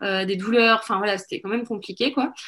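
The voice belongs to a woman. Her intonation is fairly even. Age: 40s. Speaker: women's wellness course founder. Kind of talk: podcast interview. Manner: hesitant, many fillers.

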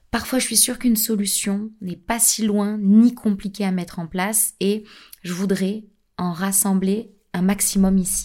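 A woman talks with a medium pitch and a dark, mellow, somewhat breathy tone, at a fairly slow pace. Her intonation is monotone and flat, and the recording is very clean with a silent background. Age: 30s. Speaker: podcast host. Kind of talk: podcast monologue. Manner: hesitant.

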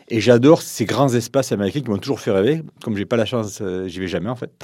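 A fast-paced man's voice, fairly low, dark and mellow with a slightly husky edge and ordinary pitch variation

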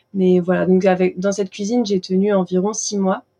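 A woman's medium-pitched voice with a dark, mellow tone and a fairly quick pace, dry and close with no echo. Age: 20s. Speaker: pastry chef and shop owner. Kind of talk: interview conversation. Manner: hesitant, many fillers.

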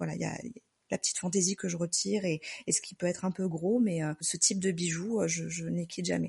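Very fast speech from a woman, dry and close with no echo. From southern France, Marseille. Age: 30s. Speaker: nurse. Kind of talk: personal testimony.

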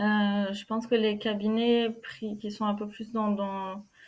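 A woman speaks fairly slowly at a fairly high pitch. Her intonation is monotone and flat. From France, Normandy. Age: 20s. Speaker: physiotherapist. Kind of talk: interview. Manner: halting.

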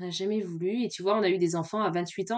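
A woman at a medium pitch. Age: 30s. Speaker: podcast guest sharing her love story. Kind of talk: casual interview.

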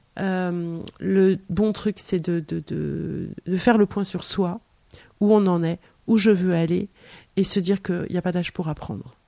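A woman speaks in a dark, mellow tone at a very slow pace. The recording is very clean, with a silent background. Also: medium pitch for a woman, fairly even intonation, dry, close sound with no echo. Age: 50s. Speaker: author. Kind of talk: casual chat. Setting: in her home.

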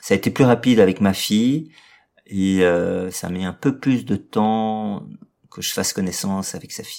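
Speaking at a moderate pace with a fairly low pitch, a man leaves long, frequent pauses, and his loudness swings widely. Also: ordinary pitch variation. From Brussels, Belgium. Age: 40s. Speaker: restaurant owner and separated father. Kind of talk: personal testimony interview. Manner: hesitant, many fillers and repetitions.

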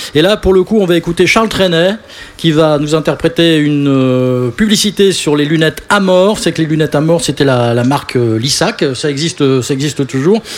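Noticeable background noise sits behind a man with a fairly high pitch and ordinary pitch variation. He keeps a moderate pace and very even loudness. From Paris region (Boulogne-Billancourt). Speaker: radio host. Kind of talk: live radio show.

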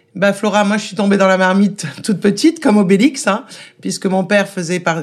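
This woman has an ordinary speaking voice at medium pitch. Her pace is fairly quick. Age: 40s. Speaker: restaurant owner. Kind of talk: interview.

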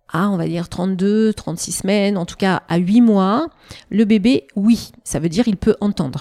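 A woman speaks at a medium pitch with a dark, mellow tone. The recording is dry and close, with no echo. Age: 50s. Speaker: perinatal psychologist. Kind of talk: interview conversation. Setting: in person, Annecy.

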